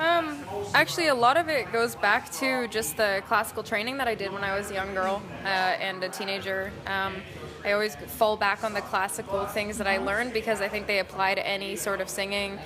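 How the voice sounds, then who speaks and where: Music plays in the background. Over it, a woman speaks at a fairly quick pace. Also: medium pitch for a woman, ordinary pitch variation. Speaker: rock band singer. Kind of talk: interview. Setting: music festival.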